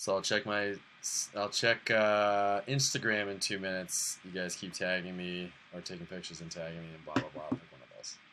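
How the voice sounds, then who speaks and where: A man with an American accent talks fairly quickly at a very deep, low pitch, with a bright, sharp tone, fairly even intonation and big swings in loudness. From Boston. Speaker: live streamer. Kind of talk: casual chat. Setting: live stream.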